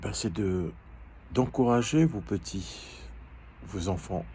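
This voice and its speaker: This man's voice sits very deep and low. Vocal fry runs through his speech. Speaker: life coach. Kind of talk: educational talk. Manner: halting, hesitant.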